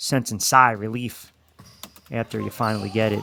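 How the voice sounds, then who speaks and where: Music plays in the background behind a man. He talks at a moderate pace with fairly even intonation. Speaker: sports play-by-play announcer; radio host. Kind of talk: live basketball play-by-play commentary.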